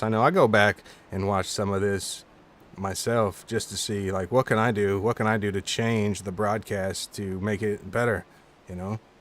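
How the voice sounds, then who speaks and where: A man's fairly low voice with fairly even intonation, a plain, everyday voice. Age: 40s. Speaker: sim racing commentator. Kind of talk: live commentary. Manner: casual.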